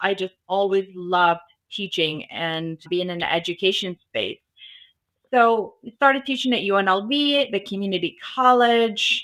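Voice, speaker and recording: Her bright, sharp tone and lively intonation carry as this woman speaks at a fairly slow pace and medium pitch. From Arabic-speaking country. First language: Arabic. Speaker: cybersecurity business founder. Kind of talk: podcast interview.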